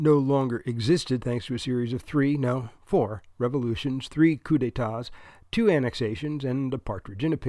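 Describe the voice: Just plain reading aloud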